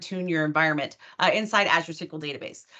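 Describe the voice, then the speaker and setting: The tone is bright and sharp, delivered at a fairly quick pace. Behind it, the background stays quiet. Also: woman. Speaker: database consultant and conference speaker. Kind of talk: technical presentation. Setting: online video meeting. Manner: very fast.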